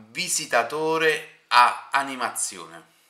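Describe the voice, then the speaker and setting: Very slow speech from a man with a fairly high pitch, over a quiet background. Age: 30s. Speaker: interviewer and streamer; interviewer, streamer. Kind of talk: casual interview. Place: home room.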